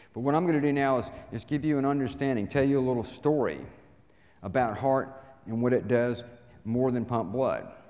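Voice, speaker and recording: Someone with a Southern US accent speaks at a fairly quick pace, with ordinary pitch variation, long, frequent pauses and audible room echo. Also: man, medium pitch for a man. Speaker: inspirational speaker. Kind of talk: talk to live audience. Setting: stage with audience.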